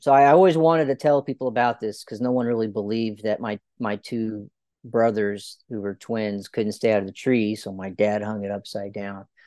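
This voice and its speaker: At a moderate pace, a man speaks in an unremarkable speaking voice, fairly low in pitch, with ordinary pitch variation. The sound is dry and close with no echo, over a quiet background. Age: 30s. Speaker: children's author and army officer. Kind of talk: interview.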